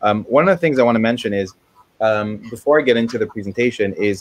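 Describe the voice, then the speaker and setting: In a dry, close sound with no echo, a man talks with an unremarkable speaking voice and ordinary pitch variation. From USA, moved from Israel at six. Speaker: Amazon marketing expert. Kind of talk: webinar presentation. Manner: many fillers (um, uh).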